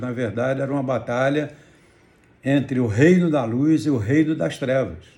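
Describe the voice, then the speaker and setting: A man's dark, mellow, somewhat breathy voice at a fairly slow pace, with audible room echo. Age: 70s. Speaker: pastor. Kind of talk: testimony.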